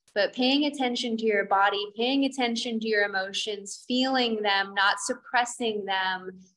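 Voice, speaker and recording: A woman speaks at a moderate pace with fairly high pitch. Her intonation stays fairly even. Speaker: yoga teacher. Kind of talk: casual chat. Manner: intense; laughs often. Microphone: video call.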